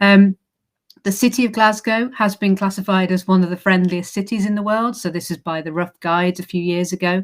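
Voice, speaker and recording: A woman with an English accent, fairly quick and fairly even in intonation, in a very clean recording with a silent background. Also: medium pitch for a woman. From England. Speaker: university recruitment manager. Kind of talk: presentation. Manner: hesitant fillers.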